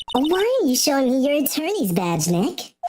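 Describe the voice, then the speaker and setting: A woman performs a put-on character voice, high in pitch. Her pitch swings very widely at a moderate pace. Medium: virtual streamer.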